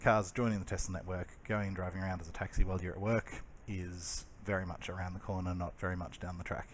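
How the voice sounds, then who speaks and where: In an Australian accent, a man with a very deep, low pitch talks at a very fast pace in a monotone, flat intonation. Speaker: electric car channel host. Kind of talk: casual explainer over video. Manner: hesitant, many fillers.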